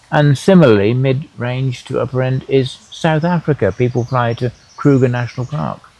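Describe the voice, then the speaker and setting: Speaking at a moderate pace, a man with an English accent uses a medium pitch and ordinary pitch variation. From England. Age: 80s+. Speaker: tour operator and farmer. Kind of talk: panel interview. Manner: halting.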